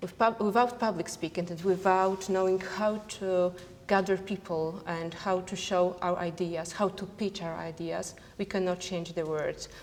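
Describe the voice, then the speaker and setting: A woman with a non-native accent and a medium pitch speaks at a moderate pace in a monotone, flat intonation. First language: not English. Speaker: entrepreneur. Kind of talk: panel discussion. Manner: halting.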